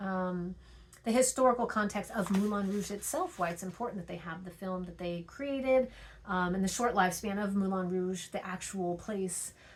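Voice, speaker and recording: With audible room echo, a woman speaks at a medium pitch and ordinary pitch variation. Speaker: teacher. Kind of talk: recorded lecture. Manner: fast; hesitant with frequent fillers.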